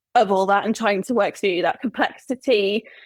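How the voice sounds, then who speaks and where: In a dry, close sound with no echo, a woman speaks in a Welsh accent at a fairly high pitch. Her pace is fairly quick and her intonation fairly even. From Wales. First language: Welsh and English. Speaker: humanist celebrant. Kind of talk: interview answer.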